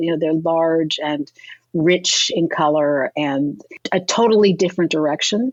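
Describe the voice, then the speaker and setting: A woman speaks at a fairly slow pace in a normal speaking voice with ordinary pitch variation. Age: 60s. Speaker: fine art photographer. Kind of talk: interview.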